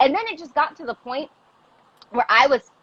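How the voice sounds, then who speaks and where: A woman with a high pitch and an animated tone speaks in a dry, close sound with no echo, over noticeable background noise. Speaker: teacher and activist. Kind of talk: casual chat. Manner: loud.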